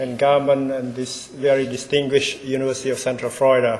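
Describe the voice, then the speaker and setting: A man with a Cambodian accent and fairly high pitch speaks amid noticeable background noise and audible room echo. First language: Khmer. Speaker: ambassador. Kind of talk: keynote speech. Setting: stage with audience.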